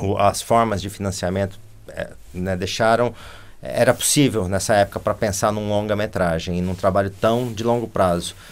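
A man with a Brazilian accent, fairly low in pitch, with fairly even intonation at a moderate pace. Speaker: animation film director; interview guest. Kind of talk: interview conversation. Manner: halting. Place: studio.

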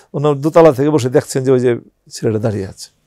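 Against a quiet background, a man speaks with lively intonation in a dark, mellow tone, the sound dry with no echo. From Bangladesh. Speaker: war veteran. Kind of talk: interview testimony. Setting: studio. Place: studio. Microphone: lapel.

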